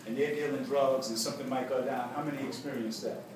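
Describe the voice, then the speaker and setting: With noticeable background noise, a man at a fairly high pitch talks at a very fast pace. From Harlem, New York. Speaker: former activist, author, spoken word poet. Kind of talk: speech to students.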